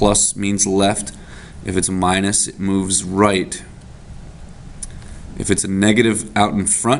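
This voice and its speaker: A man speaks at a very slow pace in a fairly low pitch. His intonation is fairly even, with noticeable background noise. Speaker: math teacher. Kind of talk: tutorial.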